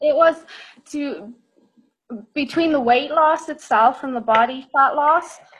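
A woman with a Dublin accent speaks at a high pitch with ordinary pitch variation. Her pace is fairly slow, with long, frequent pauses. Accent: Irish (Dublin). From Ireland, Dublin. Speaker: nutritional therapist and personal trainer. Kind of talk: interview, casual chat.

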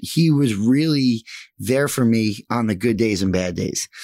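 A man speaks at a fairly slow pace in an American accent, his medium pitch showing ordinary variation. Loudness stays very even, and the recording is very clean with a silent background. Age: 30s. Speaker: mortgage professional. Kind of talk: casual chat. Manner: energetic.

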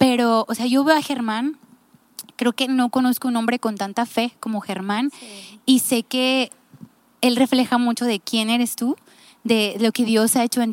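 A plain, everyday voice moves at a moderate pace with fairly even intonation. The recording is very clean with a silent background, a dry, close sound with no echo. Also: woman. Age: 30s. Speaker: podcast host. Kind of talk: casual chat.

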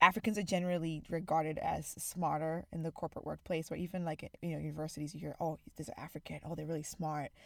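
A woman's very deep, low voice with an American accent and monotone, flat intonation. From Zimbabwe. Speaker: podcast co-host. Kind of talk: casual chat.

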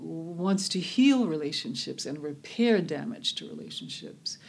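A woman speaks with a fairly low pitch and a fairly slow pace. Vocal fry runs through her voice. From US South, Birmingham, Alabama. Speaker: restorative justice activist and former civil rights attorney. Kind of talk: interview. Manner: measured with many fillers.

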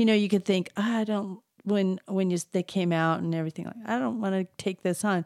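A woman with a plain, everyday voice talks at a fairly quick pace and medium pitch, with ordinary pitch variation in a dry, close sound with no echo. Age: 60s. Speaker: sculptor and art teacher. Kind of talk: interview.

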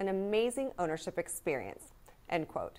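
Lively intonation marks this woman's normal speaking voice. She keeps a moderate pace. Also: very clean recording, silent background. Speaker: news anchor. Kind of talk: news reading, polished scripted broadcast delivery. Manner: formal, steady, crisp and even-paced.

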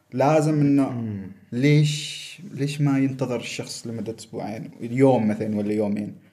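A man speaks at a fairly slow pace in a dark, mellow tone, his pitch medium with ordinary variation, and the room echo is audible. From Oman. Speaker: world traveler. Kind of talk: casual chat.

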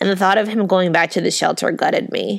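A woman with a plain, everyday voice speaks at a medium pitch with fairly even intonation in a very clean recording with a silent background. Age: 30s. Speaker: podcast host. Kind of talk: reading aloud.

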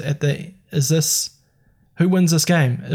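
A man speaks in a somewhat breathy voice. His tone is dark and mellow, with fairly even intonation. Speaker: podcast host. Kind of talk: casual chat.

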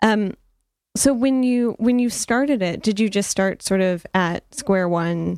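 A woman with an American accent uses an ordinary speaking voice at a medium pitch, with ordinary pitch variation and very even loudness, in a dry, close sound with no echo. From Detroit. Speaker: radio host. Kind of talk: casual interview.

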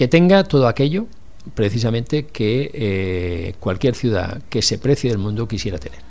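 Medium-pitched man's voice with very wide pitch swings, at a moderate pace. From Catalonia, Barcelona. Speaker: former city councillor. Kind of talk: radio interview. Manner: halting, with many repeated words.

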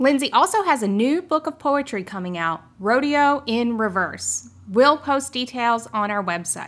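A woman speaks at a fairly slow pace with hardly any pauses. Her high voice moves in very wide pitch swings. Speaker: podcast host. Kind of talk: scripted announcement.

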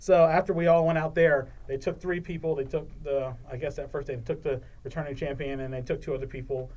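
A man with an American accent and a normal speaking voice talks fairly quickly, pitched fairly high, with fairly even intonation. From Maryland, Eastern Shore (Salisbury). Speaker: sports producer, game show contestant. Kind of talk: casual chat.

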